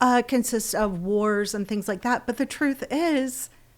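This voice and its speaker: In a Southern US accent, a woman talks at a moderate pace with a high pitch and lively intonation on a very clean recording with a silent background. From Florida, US South. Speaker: podcast co-host. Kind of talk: casual chat.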